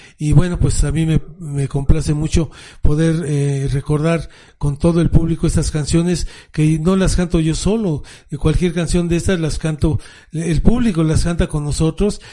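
A man speaks at a moderate pace in a fairly high voice with a dark, mellow tone and fairly even intonation. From Mexico City. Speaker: rock drummer. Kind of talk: interview.

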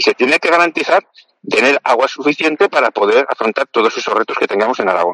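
A man speaks at a fairly high pitch and a very fast pace, his pitch swinging very widely. The sound is dry and close, with no echo. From Spain, Aragon (Zaragoza). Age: 50s. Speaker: politician and doctor. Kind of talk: interview. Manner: halting, many fillers.

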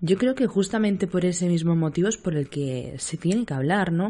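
The tone is dark and mellow, with ordinary pitch variation. Speech moves at a moderate pace. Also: woman. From Spain, Seville. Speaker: podcast host and nurse. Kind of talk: casual chat.

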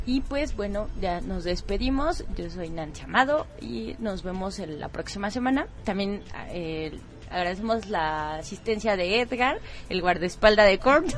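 A woman speaks at a fairly slow pace with lively intonation and vocal fry. Her loudness swings widely, and room echo is audible. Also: medium pitch for a woman. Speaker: radio co-host. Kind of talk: radio interview.

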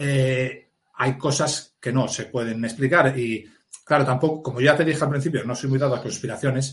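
The man's voice is somewhat breathy and medium in pitch. He keeps a moderate pace and fairly even intonation. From Asturias, Spain (mining basin). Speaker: police officer and author. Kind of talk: interview.

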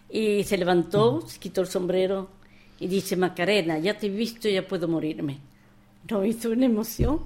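At a moderate pace, a woman speaks in a medium pitch with ordinary pitch variation and a dark, mellow tone. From Spain, Andalusia and Madrid. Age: 80s+. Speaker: war exile and memoir author. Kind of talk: interview testimony. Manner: halting, repetitive.

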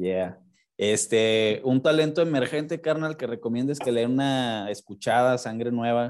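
Over a quiet background, a man talks at a fairly slow pace and medium pitch with ordinary pitch variation, in an unremarkable speaking voice. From Mexico. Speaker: podcast host. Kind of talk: casual interview; show intro and outro.

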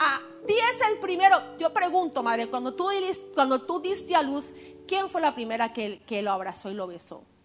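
With music in the background, the voice moves at a moderate pace through very wide pitch swings and big swings in loudness. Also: woman, high pitch for a woman. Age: 40s. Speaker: preacher. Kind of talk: sermon.

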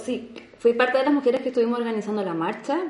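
A woman with ordinary pitch variation, amid audible room echo and noticeable background noise. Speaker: activist. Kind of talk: casual chat.

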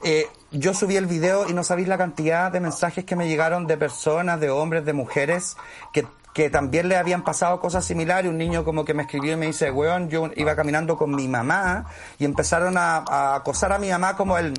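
Using a normal speaking voice, a man talks at a fairly quick pace with a fairly high pitch. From Chile, Santiago (Conchalí). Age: 40s. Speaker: actor. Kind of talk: casual chat.

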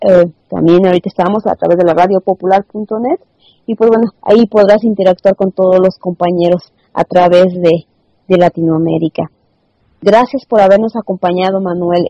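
In a dry, close sound with no echo, a woman talks at a fairly slow pace, her medium-pitched voice dark and mellow, with fairly even intonation. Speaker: radio host. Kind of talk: interview.

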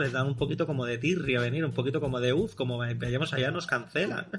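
A man speaks at a fairly quick pace with ordinary pitch variation. There is noticeable background noise. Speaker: podcast host. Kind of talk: casual chat.

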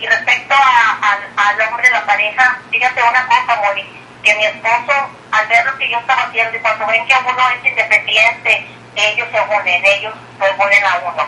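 Against noticeable background noise, a woman speaks at a moderate pace. Her fairly high pitch carries fairly even intonation. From Mexico, Tamaulipas. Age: 60s. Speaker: retired teacher turned businesswoman. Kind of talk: phone interview.

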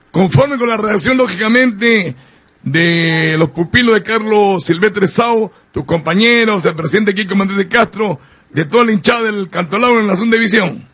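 Moving at a moderate pace, a man talks at a high pitch with ordinary pitch variation. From Peru, Lima. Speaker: sports radio host. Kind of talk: sports radio show. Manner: animated.

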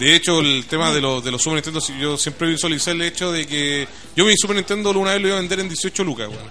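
A man talks at a very fast pace. His pitch varies in an ordinary way, with noticeable background noise. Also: fairly high pitch for a man. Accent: Chilean. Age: 20s. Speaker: radio host. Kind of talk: casual chat. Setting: studio. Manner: animated.

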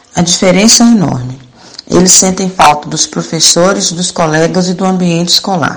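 Moderate pace and fairly even intonation amid noticeable background noise. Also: woman. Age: 50s. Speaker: homemaker and mother.

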